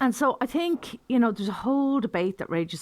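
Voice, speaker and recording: A woman speaks in an Irish accent with lively intonation at a moderate pace. The recording is very clean, with a silent background. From Ireland. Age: 60s. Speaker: pagan teacher. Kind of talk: informal talk to camera. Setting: video to camera.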